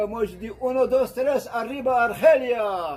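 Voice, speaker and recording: A man's dark, mellow tone at a very slow pace. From Algeria. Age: 80s+. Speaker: video blogger. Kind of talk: casual monologue. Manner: animated.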